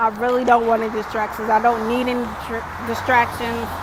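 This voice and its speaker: A woman's fairly high voice, monotone and flat, at a moderate pace, with noticeable background noise and audible room echo. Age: young. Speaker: lifestyle vlogger. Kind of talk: personal vlog monologue. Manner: hesitant, many ums.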